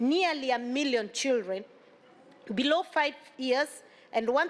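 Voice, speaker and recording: This woman talks at a fairly slow pace with a high pitch and ordinary pitch variation. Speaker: government official. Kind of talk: formal speech. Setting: conference room. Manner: formal.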